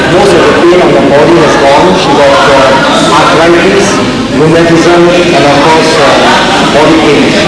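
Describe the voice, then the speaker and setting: A man speaks at a fairly slow pace amid loud background noise. The room echo is audible. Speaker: seminar host. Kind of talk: interviewer. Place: hall.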